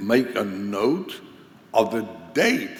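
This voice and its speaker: A man speaks very slowly at a medium pitch with lively intonation. Audible room echo and noticeable background noise fill the recording. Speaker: conference teacher on pastoral care. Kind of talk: lecture.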